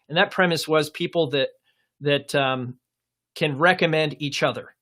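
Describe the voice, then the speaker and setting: In a very clean recording with a silent background, a man talks in a bright, sharp tone with ordinary pitch variation. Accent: American. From Portland, Oregon. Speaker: career coach. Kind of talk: live stream Q&A. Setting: live stream. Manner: hesitant with many fillers.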